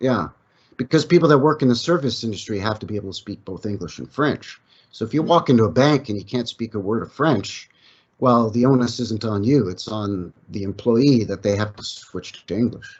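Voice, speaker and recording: In an ordinary speaking voice with a Canadian accent, a man talks at a fairly quick pace and a medium pitch. His pitch varies in an ordinary way, while his loudness swings widely. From Canada. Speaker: history researcher, channel owner of another channel. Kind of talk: casual chat.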